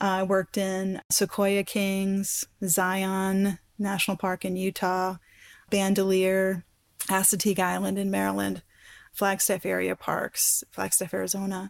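On a very clean recording with a silent background and a dry, close sound with no echo, a woman with an American accent speaks at medium pitch in a monotone, flat intonation at a fairly slow pace. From Colorado, US. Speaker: university science lecturer. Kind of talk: interview.

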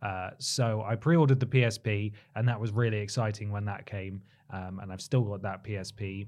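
Over a quiet background, a man with an English accent talks at a fairly quick pace in a fairly low voice, his intonation fairly even but his loudness swinging widely. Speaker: podcast host. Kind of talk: casual chat.

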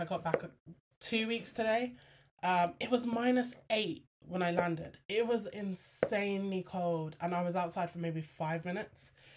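A woman in a British accent speaks at medium pitch and a moderate pace, with ordinary pitch variation. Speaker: podcast host. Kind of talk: casual chat. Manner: chatty, many fillers.

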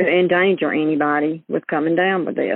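Speaking with an Alabama accent, a woman uses a fairly low pitch with ordinary pitch variation. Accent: Southern US (Alabama). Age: 60s. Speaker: churchgoer and caregiver. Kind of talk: personal testimony.

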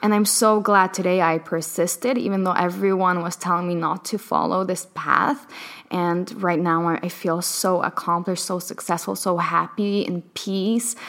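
This woman has a medium pitch and a fairly even intonation, speaking at a moderate pace with hardly any pauses. Background noise is noticeable. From Palestine. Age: young. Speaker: dating coach. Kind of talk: casual chat.

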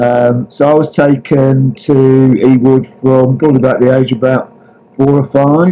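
In a Lancashire accent, a man talks at a moderate pace and medium pitch, his intonation monotone and flat and his loudness very even. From Lancashire (Blackburn). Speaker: football writer. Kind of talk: interview.

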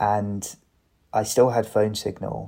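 A fairly slow, monotone male voice with an English accent and a dark, mellow tone. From England. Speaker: bereaved son. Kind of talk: casual chat. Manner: halting.

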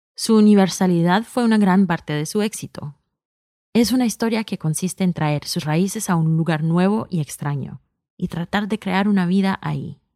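At a moderate pace, a woman with a medium pitch, ordinary pitch variation and a dark, mellow tone is heard dry and close with no echo, on a very clean recording with a silent background. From US, New York, Colombian immigrant family. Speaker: podcast creator and executive producer. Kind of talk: scripted narration.

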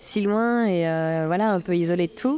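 A woman's dark, mellow voice, fairly low in pitch, at a very slow pace. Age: 40s. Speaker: ultra-trail runner. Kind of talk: interview conversation. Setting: trade fair stand. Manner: hesitant, many fillers.

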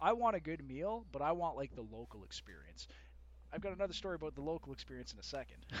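A man talks at a very fast pace. He has a Canadian accent. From Canada (Winnipeg). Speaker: podcast guest. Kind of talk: casual chat.

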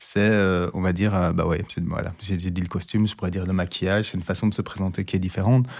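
A man with a very deep, low pitch speaks very fast in a monotone, flat delivery. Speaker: diversity and inclusion expert. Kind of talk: testimony. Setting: studio. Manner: halting, many hesitations.

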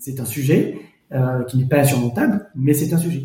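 A man talks in a fairly high, somewhat breathy voice. Audible room echo surrounds his speech. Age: 40s. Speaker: lawyer. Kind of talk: testimony.

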